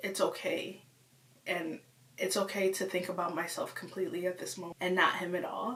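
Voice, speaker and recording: Medium-pitched female speech at a moderate speed amid noticeable background noise. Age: 20s. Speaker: vlogger. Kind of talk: personal vlog confession. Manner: casual, rambling speech.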